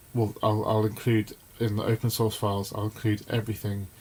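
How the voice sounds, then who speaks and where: A man's somewhat breathy voice, fairly low in pitch, with monotone, flat intonation. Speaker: electronics maker and YouTuber. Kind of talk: live design tutorial. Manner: halting, lots of fillers.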